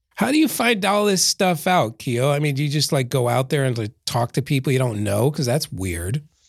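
A man with an American accent speaks at a moderate pace, barely pausing, in a fairly high, somewhat breathy voice. His pitch swings very widely while his loudness stays very even. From Philadelphia, US. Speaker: podcast co-host. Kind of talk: casual interview chat.

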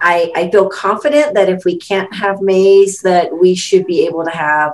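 A woman with a normal speaking voice, medium pitch, ordinary pitch variation and a fairly slow pace. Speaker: chapter president. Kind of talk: podcast interview.

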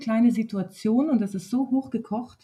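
A somewhat breathy woman at a moderate pace. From southern Germany (Wertheim, Baden-Württemberg). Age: 30s. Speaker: nursery teacher and dance instructor. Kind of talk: casual conversation.

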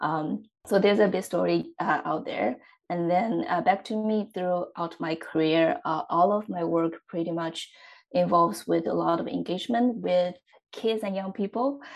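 In a quiet background, a woman with a Chinese accent speaks at a moderate pace. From central China. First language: Mandarin Chinese. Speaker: startup support specialist at a development agency. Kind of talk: interview. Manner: hesitant with many fillers.

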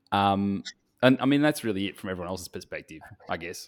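In an Australian accent, a man talks at a very fast pace with a fairly low pitch and ordinary pitch variation, the sound dry and close with no echo. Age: 30s. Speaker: photographer and podcast co-host. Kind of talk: casual chat.

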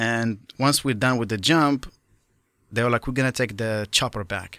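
A man at a medium pitch with a bright, sharp tone and fairly even intonation, on a very clean recording with a silent background. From Morocco. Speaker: skydiving instructor. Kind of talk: interview.

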